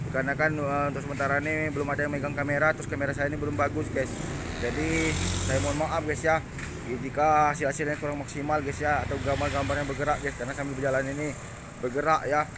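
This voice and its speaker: Over noticeable background noise and audible room echo, a man talks very fast. His fairly high voice has monotone, flat intonation. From Palembang, South Sumatra. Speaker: vlogger. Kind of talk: casual walking vlog. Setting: outdoors, walking along a street.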